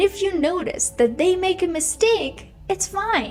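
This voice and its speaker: A woman with a Russian accent, music in the background. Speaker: English teacher. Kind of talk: educational podcast monologue. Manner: casual, conversational.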